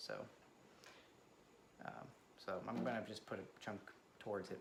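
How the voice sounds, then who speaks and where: Someone soft-spoken talks at a moderate pace amid audible room echo. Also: man. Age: 30s. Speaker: vlogger. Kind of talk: casual personal vlog. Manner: hesitant, many fillers.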